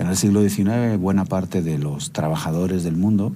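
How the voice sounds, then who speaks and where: Noticeable background noise and audible room echo surround the recording. A man talks in a very deep, low voice with ordinary pitch variation. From Spain, Barcelona (Catalonia). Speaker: lecturer. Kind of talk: lecture. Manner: halting, many fillers.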